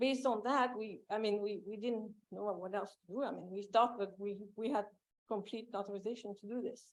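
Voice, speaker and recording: Fairly quick speech in a French accent, with fairly even intonation. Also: woman, medium pitch for a woman. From France. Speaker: property owner testifying. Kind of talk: public hearing testimony. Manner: halting.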